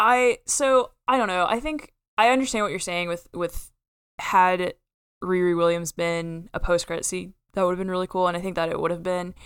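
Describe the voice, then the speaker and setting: In an American accent, a woman speaks at medium pitch and a moderate pace. Hers is a plain, everyday voice with ordinary pitch variation. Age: 20s. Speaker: film podcast co-host. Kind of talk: casual chat.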